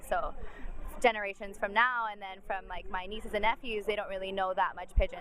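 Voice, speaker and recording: Over noticeable background noise, a woman at a medium pitch talks at a fairly quick pace with fairly even intonation and big swings in loudness. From Hawaii (Kauai). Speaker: university student. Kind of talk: interview answer.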